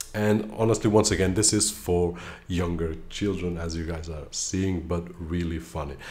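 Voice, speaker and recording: A man with a very deep, low pitch speaks at a moderate pace and sounds somewhat breathy. His intonation stays fairly even, with audible room echo. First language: Portuguese. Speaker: tech reviewer. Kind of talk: tutorial. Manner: casual, with filler hesitations.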